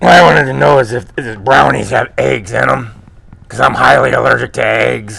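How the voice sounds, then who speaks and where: Using a put-on character voice, a man talks raspy and medium-pitched at a fairly quick pace. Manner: garbled, nonsensical talk.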